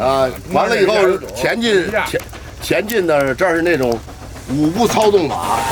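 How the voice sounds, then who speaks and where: Over noticeable background noise, a man with a high pitch speaks at a fairly slow pace with very wide pitch swings, long, frequent pauses and very even loudness. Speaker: retired steam locomotive driver. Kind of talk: oral history interview, reminiscing. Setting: outdoors beside a locomotive.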